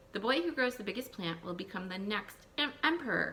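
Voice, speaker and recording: Someone performs a put-on character voice at a fairly quick pace against clear background noise. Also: female-sounding voice, medium pitch for a woman. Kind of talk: classroom read-aloud. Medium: read story.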